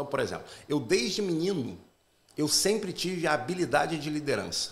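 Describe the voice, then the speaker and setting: A man with a Carioca accent at a fairly high pitch, ordinary pitch variation and moderate pace, with audible room echo. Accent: Carioca (Rio) accent, moderate. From Brazil, Rio de Janeiro metropolitan area. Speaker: pastor. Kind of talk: podcast interview, faith-based talk. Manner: talkative, long turns.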